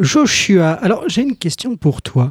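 In a dry, close, very clean recording with a silent background and no echo, a man with a dark, mellow tone lets his pitch swing very widely. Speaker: radio host. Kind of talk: radio interview. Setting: studio. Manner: animated.

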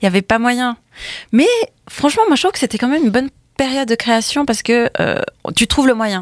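A woman speaks very fast in a high pitch, with ordinary pitch variation and long, frequent pauses. The sound is dry and close, with no echo. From France, of Chilean parents. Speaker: singer. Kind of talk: casual chat.

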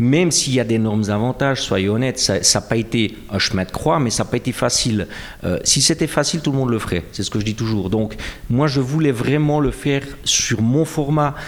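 A Jura Swiss accent at a moderate pace, very even in loudness, over noticeable background noise. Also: man, medium pitch for a man, ordinary pitch variation. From Switzerland, Jura. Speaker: comic book author. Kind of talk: interview. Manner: halting, many repetitions and fillers.

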